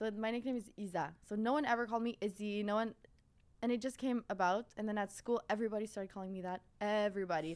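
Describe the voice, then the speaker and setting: Speech in a Quebec accent moves at a very fast pace. The intonation stays fairly even. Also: woman, fairly high pitch for a woman. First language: French. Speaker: fashion content creator. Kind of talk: podcast interview. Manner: casual, filler-heavy.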